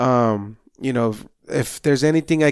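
A man speaks at a moderate pace and medium pitch in an ordinary speaking voice. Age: 30s. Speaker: results coach, health and wellness trainer. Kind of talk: casual interview chat.

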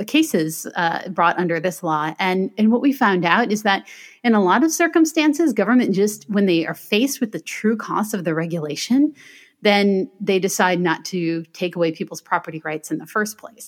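Using an unremarkable speaking voice, a woman with an American accent talks at a moderate pace and medium pitch. Her intonation is lively, and the recording is very clean with a silent background. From US Midwest, Michigan. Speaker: attorney and author. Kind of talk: interview.

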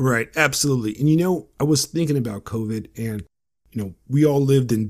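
A normal speaking voice from a man with an American accent, fairly quick, with ordinary pitch variation, on a very clean recording with a silent background. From United States, Romanian-born. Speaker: podcast host. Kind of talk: casual interview chat.

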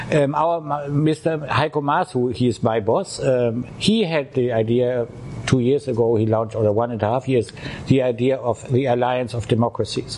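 With a German accent, a man speaks at a fairly slow pace in a medium pitch with ordinary pitch variation, over noticeable background noise. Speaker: diplomat. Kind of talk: interview. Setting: drinking beer during interview.

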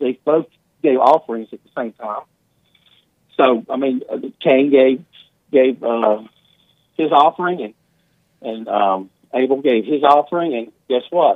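With a medium pitch and ordinary pitch variation, a man speaks at a fairly slow pace, leaving long, frequent pauses and making big swings in loudness. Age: 50s. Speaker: caller. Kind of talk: phone-in call. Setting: phone call.

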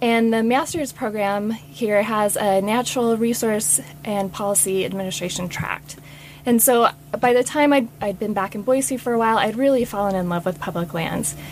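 Over noticeable background noise, a woman with an American accent speaks at a moderate pace, her fairly high pitch carried by lively intonation. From US Mountain West (Utah, Wyoming, Idaho). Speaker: public land manager. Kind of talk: interview. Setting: studio.

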